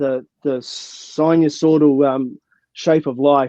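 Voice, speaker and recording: A man with a New Zealand accent, fairly high pitch and fairly even intonation. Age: 60s. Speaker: mountaineer and motivational speaker. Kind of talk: Q and A. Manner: halting.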